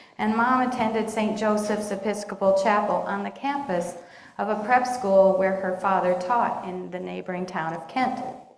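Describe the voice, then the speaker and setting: An American accent at a moderate pace with fairly even intonation, amid noticeable background noise and audible room echo. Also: woman, medium pitch for a woman. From Pittsburgh, Pennsylvania. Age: 60s. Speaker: lay speaker at congregation. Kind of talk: personal testimony talk.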